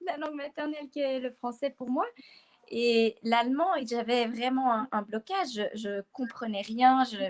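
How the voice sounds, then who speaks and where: Her sound dry and close with no echo, a woman speaks at a high pitch and a fairly slow pace with ordinary pitch variation. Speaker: workshop participant. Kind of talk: testimony. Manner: halting.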